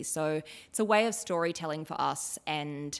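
A woman with an Australian accent and a very deep, low voice. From Australia, northern New South Wales (Ballina). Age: 30s. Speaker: fashion and costume designer. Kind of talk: interview conversation.

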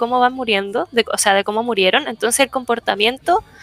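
Talking at a fairly quick pace over noticeable background noise, a woman with a Chilean accent has a high pitch and ordinary pitch variation in a dry, close sound with no echo. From northern Chile (Iquique). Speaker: podcast panelist. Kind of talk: casual chat.

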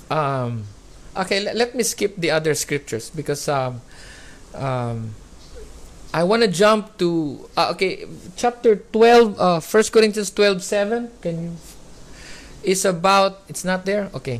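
A fairly slow delivery in a Filipino accent, with long, frequent pauses. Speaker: preacher. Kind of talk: sermon. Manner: emphatic, repeats key words.

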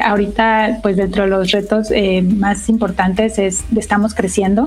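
Over noticeable background noise comes a woman's voice, fairly high in pitch. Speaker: engineering director. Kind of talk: interview.

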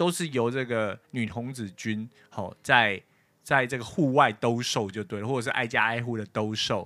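On a very clean recording with a silent background, a man speaks at a moderate pace in a bright, sharp tone, medium in pitch with ordinary variation. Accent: Taiwanese. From Taiwan. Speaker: podcast host. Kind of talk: casual chat. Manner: hesitant with many fillers.

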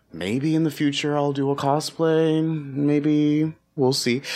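A man has an unremarkable speaking voice at a fairly high pitch. He talks at a fairly slow pace. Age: young. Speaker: podcast guest, co-host of another podcast. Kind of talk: casual chat.

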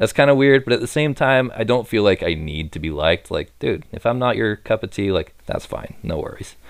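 With an animated tone and vocal fry, a man with a medium pitch talks at a fairly quick pace, hardly pausing, his pitch swinging very widely. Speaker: podcast guest. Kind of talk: casual chat. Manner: animated, joking.

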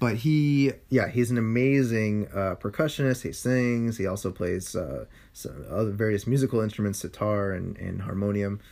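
A man with a Californian accent at a moderate pace, hardly any pauses, on a very clean recording with a silent background. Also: fairly low pitch for a man, ordinary pitch variation. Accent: Californian American. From San Francisco, Sunset district. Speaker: podcast co-host. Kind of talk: casual chat.

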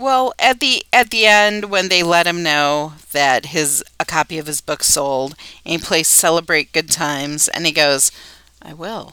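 Speaking at a fairly slow pace, a woman uses a fairly low pitch with a bright, sharp tone and a playful tone, her loudness swinging widely in a dry, close recording with no echo. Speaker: podcast host. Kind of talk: casual chat. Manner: playful, laughs often.

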